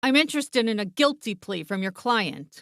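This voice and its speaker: In a put-on character voice, the speaker growls at a fairly high pitch and a moderate pace. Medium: read story. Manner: curt, unbending.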